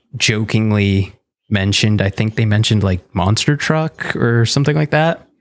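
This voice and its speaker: A man with a plain, everyday voice speaks at a fairly low pitch and a moderate pace. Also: very clean recording, silent background. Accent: Canadian. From Southern Ontario, Canada (Niagara region). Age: 30s. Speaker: illustrator and animator. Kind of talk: casual interview chat.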